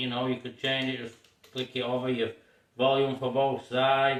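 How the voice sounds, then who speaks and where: With a Yorkshire accent, a man speaks at medium pitch. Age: 60s. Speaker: car restorer. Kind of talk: casual show-and-tell video. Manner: halting, many fillers.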